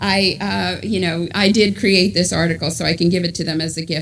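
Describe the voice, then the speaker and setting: With an American accent, a woman talks at a moderate pace amid noticeable background noise and audible room echo. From New York. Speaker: author and journalist. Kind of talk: book talk to a congregation.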